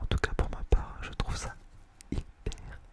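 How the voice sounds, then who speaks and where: A man whispers in a relaxed tone amid noticeable background noise. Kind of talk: ASMR whispered chat to camera. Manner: soft, relaxed.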